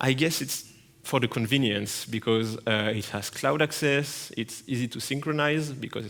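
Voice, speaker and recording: In a French accent, a man speaks at a moderate pace. His pitch is medium, with ordinary variation. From France. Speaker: penetration tester, conference speaker. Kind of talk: conference talk. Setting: stage with audience. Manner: halting, many fillers.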